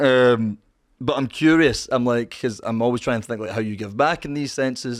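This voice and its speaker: A man with a Scottish accent, medium-pitched, fairly quick and fairly even in intonation. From Scotland. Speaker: streamer. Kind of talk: casual chat.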